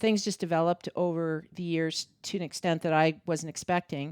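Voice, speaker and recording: The recording is very clean, with a silent background and a dry, close sound free of echo. Delivery comes at a moderate pace in a flat monotone. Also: woman. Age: 60s. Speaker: mother of the co-host, older fitness trainee. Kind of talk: casual interview. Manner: halting.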